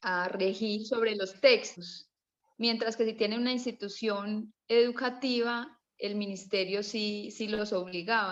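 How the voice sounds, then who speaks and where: A woman's medium-pitched voice stays fairly even in its intonation. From Colombia. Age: 30s. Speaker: participant in online history class, mother. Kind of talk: casual discussion contribution. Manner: halting, with restarts.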